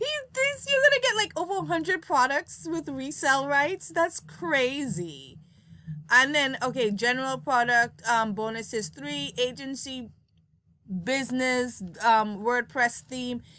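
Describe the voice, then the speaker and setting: In a Montserratian accent, a woman uses a raised, projected voice, high in pitch and bright and sharp in tone, with very wide pitch swings at a fairly slow pace. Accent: Caribbean (Montserratian) English. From Caribbean, Montserrat. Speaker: product reviewer. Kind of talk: casual product review. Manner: halting, many fillers.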